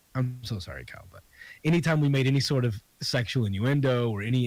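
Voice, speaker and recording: In an American accent, a somewhat breathy voice races along at a very fast pace on a very clean recording with a silent background. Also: man. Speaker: comedian and podcast host. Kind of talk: casual interview chat.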